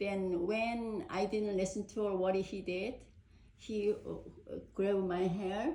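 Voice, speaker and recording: In a Korean accent, a woman speaks at a very slow pace with fairly even intonation. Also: medium pitch for a woman. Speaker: parent. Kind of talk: casual chat. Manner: halting.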